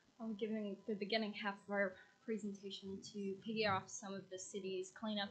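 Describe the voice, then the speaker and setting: A woman talks loudly at a moderate pace with a medium pitch. Her intonation is monotone and flat, and room echo is audible. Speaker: graduate student intern presenting to council. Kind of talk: formal presentation. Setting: city council meeting.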